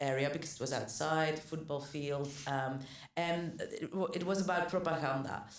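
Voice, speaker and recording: A woman with a very deep, low pitch speaks at a moderate pace with fairly even intonation, with audible room echo and noticeable background noise. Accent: Flemish. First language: Dutch. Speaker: actor. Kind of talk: casual chat. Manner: halting, many fillers and restarts.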